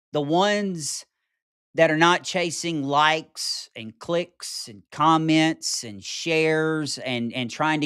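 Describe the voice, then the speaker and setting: A man with a Mississippi accent and a fairly high pitch, speaking at a very slow pace on a very clean recording with a silent background. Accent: Southern US (Mississippi). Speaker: podcast host. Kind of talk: political commentary monologue. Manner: animated.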